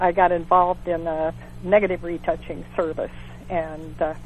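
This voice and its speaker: The speaker is a woman. Her voice is fairly low in pitch. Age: 70s. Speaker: aerial photographer and pilot. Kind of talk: interview answer. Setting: phone line.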